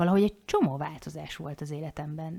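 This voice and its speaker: This woman has a very deep, low pitch and a dark, mellow tone, with ordinary pitch variation. She talks at a moderate pace on a very clean recording with a silent background. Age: 40s. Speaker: podcast co-host, life coach. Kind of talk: casual chat.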